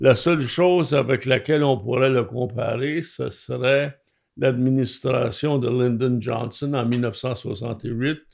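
A man at medium pitch speaks at a very slow pace with fairly even intonation. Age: old. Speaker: retired lawyer, commentator. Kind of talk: radio discussion.

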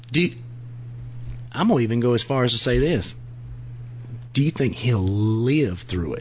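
Against noticeable background noise, a man with a medium pitch and a playful tone speaks at a moderate pace with lively intonation and long, frequent pauses. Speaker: podcast co-host. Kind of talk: casual comedic banter. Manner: joking, playful.

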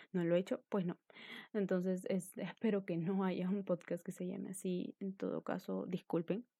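A woman talks at a medium pitch and moderate pace, her intonation fairly even and her tone dark and mellow. The sound is dry and close with no echo, and the recording is very clean with a silent background. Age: 20s. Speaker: podcaster. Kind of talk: casual monologue.

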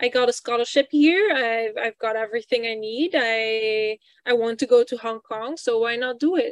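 Speaking with a Flemish accent, a woman talks at a moderate pace in a fairly high pitch with ordinary pitch variation. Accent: Belgian (Flemish) English. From Belgium. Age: 20s. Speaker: PhD student and poet. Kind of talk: interview.

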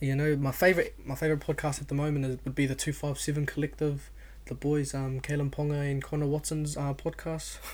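A man's somewhat breathy, fairly high voice with an Auckland accent, monotone and flat, at a fairly quick pace. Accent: New Zealand English, South Auckland. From New Zealand, South Auckland (Otara). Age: 20s. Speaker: podcast host. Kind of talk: casual monologue.

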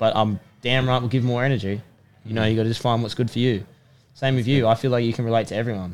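A man with an Australian accent, at a very fast pace. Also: medium pitch for a man. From Sydney, Australia. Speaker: personal trainer and rugby player. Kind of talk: casual chat. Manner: animated.

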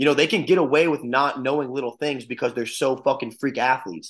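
A man talks at a fairly quick pace with fairly even intonation. His pitch is medium.

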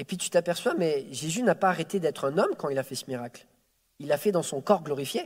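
A man with a fairly high pitch at a fairly quick pace, his intonation lively and his loudness swinging widely. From France, early childhood in Quebec City. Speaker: preacher. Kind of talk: sermon. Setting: church service. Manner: halting, repeats words.

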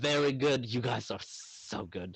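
A man's somewhat breathy voice at a medium pitch, moving at a fairly slow pace. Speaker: tabletop game master. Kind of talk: role-play game narration. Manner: rambling.

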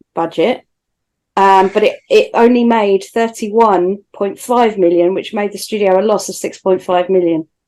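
A woman speaks at a fairly slow pace in a normal speaking voice, with medium pitch and ordinary pitch variation. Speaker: podcast co-host. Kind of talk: casual chat.

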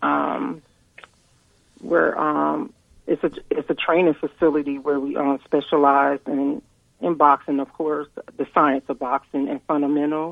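The voice belongs to a woman with an American accent. Her pitch is very deep and low, with monotone, flat intonation. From New York/New Jersey, US Northeast. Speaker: guest, boxing outreach program widow. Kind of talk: casual interview, testimonial. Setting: phone call.

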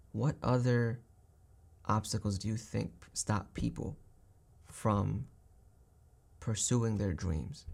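A man speaks very slowly in a fairly low pitch, with ordinary pitch variation. He leaves long, frequent pauses. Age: 20s. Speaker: podcast host. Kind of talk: casual chat.

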